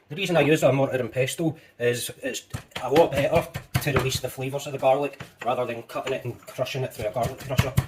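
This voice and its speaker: A man with a Scottish accent, fairly high-pitched, talking very fast with fairly even intonation over noticeable background noise. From Scotland. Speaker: home cooking youtuber. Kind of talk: cooking tutorial. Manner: casual, chatty.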